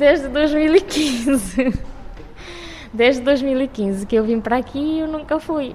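Here a woman speaks. Her pace is very slow. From Cape Verde, Fogo island. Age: 20s. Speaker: university student. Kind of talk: interview.

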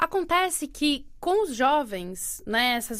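This is a woman speaking with a São Paulo accent. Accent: Brazilian Portuguese, São Paulo. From Brazil, Santos on the São Paulo coast. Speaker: actress and arts educator. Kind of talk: interview.

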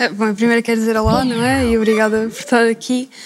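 Her pitch is fairly high for a woman. The woman's intonation stays monotone and flat. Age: young. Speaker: art student. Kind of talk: panel discussion.

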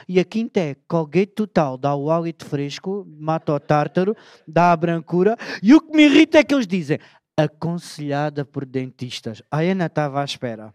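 At a moderate pace, a man talks in an ordinary speaking voice, and the sound is dry and close with no echo. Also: fairly high pitch for a man, ordinary pitch variation. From Alentejo, Portugal (Beja). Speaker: storyteller. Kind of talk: comic talk on stage. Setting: auditorium with audience.

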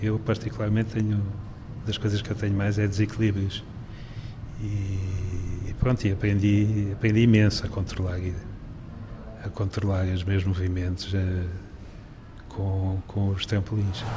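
With monotone, flat intonation, a man talks at a fairly low pitch and a fairly slow pace, pausing long and often. Noticeable background noise and audible room echo fill the recording. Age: 60s. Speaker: retired journalist with Parkinson's. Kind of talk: interview. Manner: halting.

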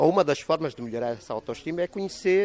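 A man's high pitch at a very fast pace, with very wide pitch swings. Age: 60s. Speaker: chef and cultural entrepreneur. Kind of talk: interview. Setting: on location at a plantation restaurant.

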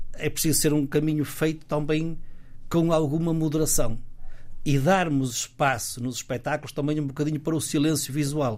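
Speech moves at a moderate speed. The pitch shifts in an ordinary way. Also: man. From northern Portugal, Guimarães. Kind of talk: casual interview. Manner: halting, frequent repetitions.

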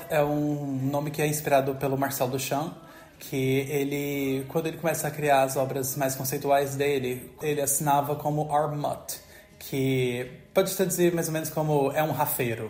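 A man with a fairly high voice speaks at a moderate pace in a monotone, flat manner. Noticeable background noise and audible room echo fill the recording. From Brazil, Goiás (rural interior). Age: 30s. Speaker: textile artist. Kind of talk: interview testimony.

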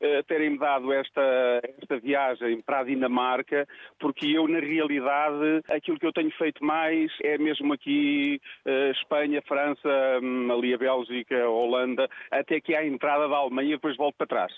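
At a moderate pace, a man talks in a fairly high pitch with monotone, flat intonation and very even loudness. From Portugal, Beira Alta (Tábua, Coimbra). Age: 50s. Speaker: truck driver. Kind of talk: radio phone-in chat. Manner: halting, repeats words.

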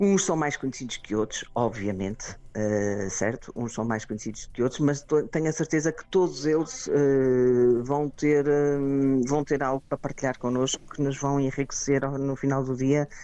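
Speaking with hardly any pauses, a woman in a Porto accent has a very deep, low pitch. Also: ordinary pitch variation, moderate pace. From Portugal, Porto. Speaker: conference organizer. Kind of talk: radio interview.

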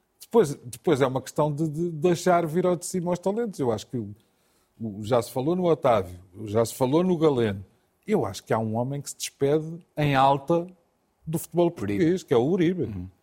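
At a fairly quick pace, a man with a fairly high pitch swings very widely in pitch, his tone dark, mellow and somewhat breathy. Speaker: football pundit, Benfica supporter. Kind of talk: studio football debate. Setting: TV studio.

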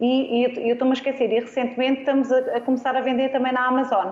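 This woman's voice is high in pitch. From Arganil, central Portugal. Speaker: food engineer. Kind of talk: casual chat. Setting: studio.

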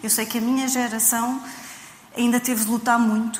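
With a European Portuguese accent, a woman speaks at a fairly high pitch and a moderate pace, with audible room echo and noticeable background noise. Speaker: writer and translator. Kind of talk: panel discussion.

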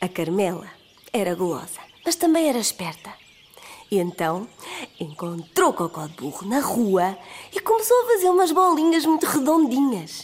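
Speaking with a European Portuguese accent, a woman uses a high pitch, very wide pitch swings and an animated tone, leaving long, frequent pauses amid noticeable background noise. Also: moderate pace. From Portugal, Aveiro. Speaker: storyteller. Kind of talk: children's storytelling. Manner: animated, voices characters.

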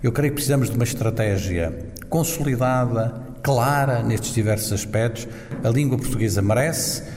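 A man speaks at a medium pitch and moderate pace with ordinary pitch variation and very even loudness. The room echo is audible, and there is noticeable background noise. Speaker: ambassador. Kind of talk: interview.

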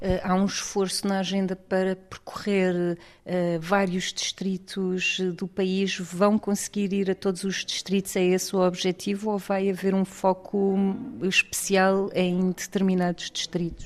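Monotone, flat delivery at a fairly slow pace with hardly any pauses. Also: woman, medium pitch for a woman. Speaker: radio reporter. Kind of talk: interview. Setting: bookshop.

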